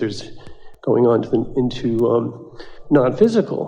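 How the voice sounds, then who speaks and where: A man speaks in an ordinary speaking voice at a moderate pace. His intonation is lively. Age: 60s. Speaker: workshop participant asking a question. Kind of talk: audience Q&A with a channeler.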